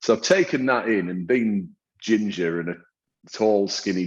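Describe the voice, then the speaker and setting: A man with a northern English accent, at a moderate pace, with ordinary pitch variation. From northern England. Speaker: hairdresser and salon owner. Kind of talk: interview. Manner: hesitant, many repetitions and fillers.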